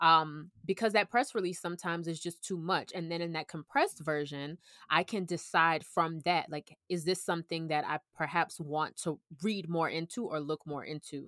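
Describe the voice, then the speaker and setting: A woman with an American accent speaks at a moderate pace in a fairly low pitch with ordinary variation, an ordinary speaking voice. The recording is very clean with a silent background and a dry, close sound with no echo. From US South, Orlando, Florida. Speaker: food journalist and freelance writer. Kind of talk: casual interview chat.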